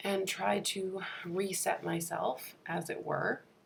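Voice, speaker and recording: A woman speaks very slowly. Noticeable noise sits in the background. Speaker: author and lifestyle vlogger. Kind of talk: vlog voiceover narration. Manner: casual, chatty.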